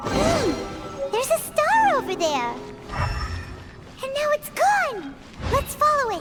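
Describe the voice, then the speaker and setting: A put-on character voice at an extremely high pitch, with very wide pitch swings, a fairly slow pace and clear music in the background. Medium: machinima. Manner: energetic.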